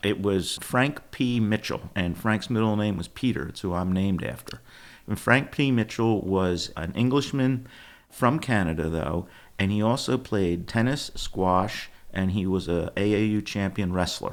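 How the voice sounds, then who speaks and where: Speaking in a Philadelphia accent, a man talks at a fairly slow pace. His pitch is fairly low, with ordinary pitch variation. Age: 70s. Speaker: company founder, former sportswear business owner. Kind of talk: podcast interview.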